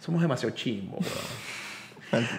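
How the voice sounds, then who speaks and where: A man with a Venezuelan accent talks at a fairly high pitch. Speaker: journalist and human rights activist; journalist. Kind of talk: casual conversational interview. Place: home room. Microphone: studio mic.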